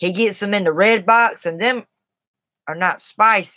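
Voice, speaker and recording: With a Southern US accent, a woman talks in a bright, sharp tone with ordinary pitch variation, recorded dry and close with no echo. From US South, South Carolina. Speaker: livestreamer. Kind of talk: casual livestream chat. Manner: chatty, informal.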